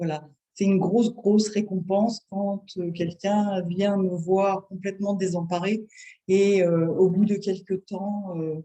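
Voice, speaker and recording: In a dark, mellow tone, a woman of medium pitch speaks very slowly with a monotone, flat intonation. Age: 60s. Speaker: acupuncturist. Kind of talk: interview. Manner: hesitant.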